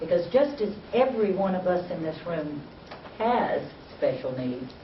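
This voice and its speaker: Speech with a South Carolina accent amid noticeable background noise. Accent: Southern US (South Carolina). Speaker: university program director, presenter. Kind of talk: workshop presentation.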